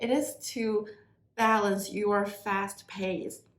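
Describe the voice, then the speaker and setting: A woman speaks at a medium pitch. Audible echo from the room surrounds her voice. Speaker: tarot reader. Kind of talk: tarot reading to viewers.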